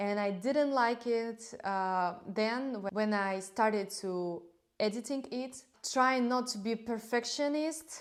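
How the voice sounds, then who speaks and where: A woman with a non-native accent speaks at a very slow pace, her fairly high pitch showing ordinary variation. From Belarus. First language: Russian. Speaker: knitting vlogger. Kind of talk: casual monologue to camera. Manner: halting, with frequent fillers.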